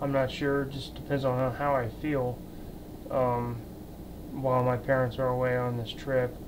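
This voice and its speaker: Long, frequent pauses break up a man's moderately paced speech, his medium-pitched voice flat and monotone. Audible room echo and noticeable background noise surround him. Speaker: vlogger. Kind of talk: casual vlog monologue. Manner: halting, hesitant.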